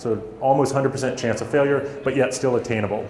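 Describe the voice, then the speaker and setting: An American accent with noticeable background noise and audible room echo. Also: man. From USA. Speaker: startup founder and motivational speaker. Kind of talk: motivational talk. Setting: stage with audience.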